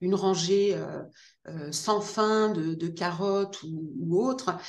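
Speaking at a very slow pace with fairly even intonation, a woman with a fairly low pitch is heard in audible room echo. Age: 50s. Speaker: gardening author. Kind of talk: interview. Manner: hesitant, many fillers and repetitions.

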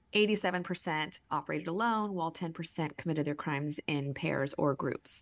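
A woman talks at a fairly quick pace in a normal speaking voice, her pitch fairly low and her pitch variation ordinary, on a very clean recording with a silent background. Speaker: podcast co-host. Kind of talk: casual chat.

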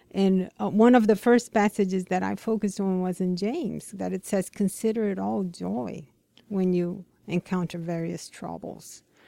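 On a very clean recording with a silent background, a woman with a dark, mellow tone talks at a moderate pace, her medium pitch showing ordinary variation. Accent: Brazilian. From Brazil. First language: Portuguese. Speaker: ministry care coordinator. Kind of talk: casual interview chat with devotional reading. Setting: radio studio.

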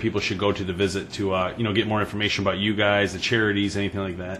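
Speaking very fast with a Michigan accent, a man is heard against noticeable background noise. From Michigan, Detroit area. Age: 30s. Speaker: hunting podcast host. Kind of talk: casual chat.

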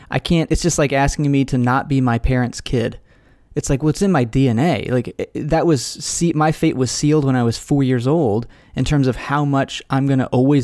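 The voice is an unremarkable speaking voice, moving at a fairly quick pace. Its intonation stays fairly even and its loudness very even. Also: man. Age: 30s. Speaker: podcast host and author, former pastor and philosophy professor. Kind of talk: interview conversation. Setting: video call.

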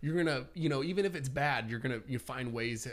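A man delivers his words at a fairly quick pace with ordinary pitch variation. He has a plain, everyday voice. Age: 30s. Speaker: real estate agent and personal development blogger. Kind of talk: casual chat.

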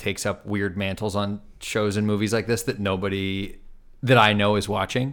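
A man with an American accent speaks in a normal speaking voice at a fairly low pitch. His pace is moderate and his intonation fairly even, in a very clean recording with a silent background. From Los Angeles, La Cañada. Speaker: filmmaker. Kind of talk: casual chat.

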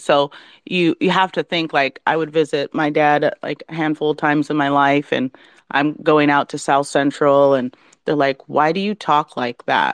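A woman with a very deep, low pitch speaks at a moderate pace, with a dry, close sound and no echo. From Southeast Alaska village. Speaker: tech entrepreneur, CEO. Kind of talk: interview. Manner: flowing; animated.

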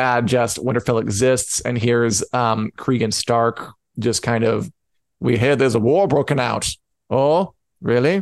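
Recorded with a dry, close sound and no echo, a man with a plain, everyday voice speaks at a fairly slow pace and medium pitch, with ordinary pitch variation and very even loudness. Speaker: podcast host. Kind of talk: casual chat. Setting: live online show.

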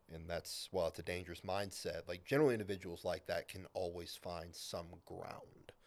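This man's delivery is fairly quick. Pauses are hardly there at all. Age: 20s. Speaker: strongman competitor. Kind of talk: casual chat.

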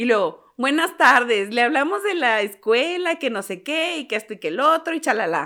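A woman speaks in a bright, sharp tone at a high pitch, with very wide pitch swings and a Mexican accent. The recording is very clean, with a silent background. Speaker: podcast co-host. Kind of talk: casual chat.

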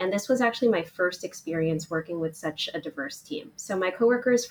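Speaking at a moderate pace, a woman uses a fairly low voice with a fairly bright tone and ordinary pitch variation.

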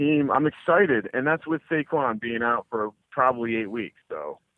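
At a moderate pace, an ordinary speaking voice talks with ordinary pitch variation. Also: man. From New Jersey. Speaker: sports gambling podcast co-host. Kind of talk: interview. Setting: phone call.

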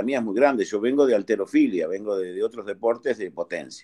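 A man with a medium pitch and a dark, mellow tone is heard in a dry, close sound with no echo. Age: 50s. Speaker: amateur golfer. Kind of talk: casual chat.

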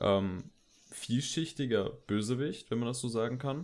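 A man talks fairly slowly at a medium pitch, in a normal speaking voice. The recording is very clean, with a silent background. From Germany, Koblenz area. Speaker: film podcast host. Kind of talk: casual chat. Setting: home, bedroom.

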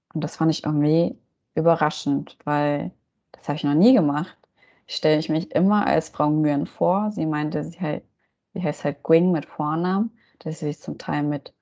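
A woman with a very deep, low pitch and a dark, mellow tone, ordinary pitch variation, and a quiet background. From Germany. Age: 30s. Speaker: cultural studies graduate. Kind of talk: interview.

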